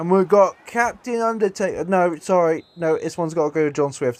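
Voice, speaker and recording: Recorded dry and close with no echo, a man with an English accent talks at a moderate pace, his high pitch marked by lively intonation. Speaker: gaming YouTuber. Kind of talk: gameplay commentary. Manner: animated; stuttering.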